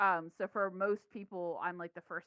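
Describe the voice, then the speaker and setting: In a dry, close sound with no echo, a woman with an American accent talks at a moderate pace, her fairly low pitch bright and sharp in tone and flat in intonation. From US Midwest, Kansas City. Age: 30s. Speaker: games studio founder. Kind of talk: casual chat.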